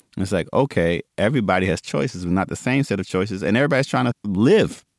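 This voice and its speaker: A man with a plain, everyday voice and a fairly low pitch, at a fairly quick pace with lively intonation, on a very clean recording with a silent background and a dry, close sound with no echo. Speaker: podcast co-host and history professor. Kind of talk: educational podcast discussion.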